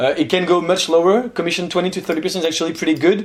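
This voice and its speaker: Over noticeable background noise, a man with a French accent speaks at a high pitch. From France. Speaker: investment youtuber. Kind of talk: casual analysis commentary. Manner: hesitant, many fillers.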